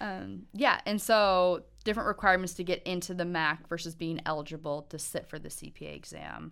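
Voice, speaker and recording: On a very clean recording with a silent background, a woman with an American accent and an unremarkable speaking voice talks at a moderate pace and fairly low pitch, with ordinary pitch variation, big swings in loudness and hardly any pauses. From Montana. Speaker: university accounting licensure advisor. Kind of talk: casual interview.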